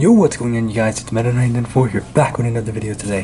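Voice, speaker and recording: Quiet and medium in pitch, a man's voice comes through over noticeable background noise. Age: 20s. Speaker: toy reviewer YouTuber. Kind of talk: product review. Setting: indoors, different location at night. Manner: quiet, lowered voice; casual, hesitant with fillers.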